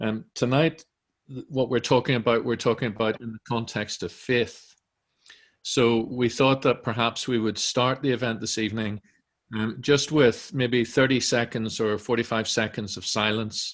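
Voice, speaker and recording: A man talks with a Northern Irish accent at a moderate pace. His medium pitch stays fairly even. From Northern Ireland. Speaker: director of a centre, event moderator. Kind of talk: online panel introduction. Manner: hesitant, many fillers.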